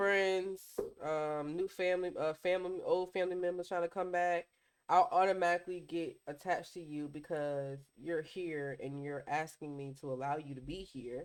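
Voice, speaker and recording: The recording is very clean with a silent background, and the talking goes at a moderate speed. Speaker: podcast co-host. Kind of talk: casual chat. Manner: loud.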